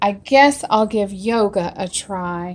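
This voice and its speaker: In a very clean recording with a silent background, a woman uses a put-on character voice at a medium pitch and a fairly slow pace. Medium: read story.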